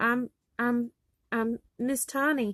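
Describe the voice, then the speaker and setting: A squeaky, put-on character voice speaks in a flat monotone, with a dry, close sound and no echo. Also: woman, high pitch for a woman. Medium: read story.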